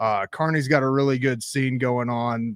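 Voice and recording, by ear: With a clear, smooth tone at medium pitch, a man speaks at a moderate pace and keeps a fairly even intonation.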